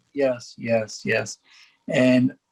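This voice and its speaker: A man with a Gujarati accent and fairly even intonation, in a dry, close sound with no echo. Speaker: faith community speaker. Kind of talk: educational presentation.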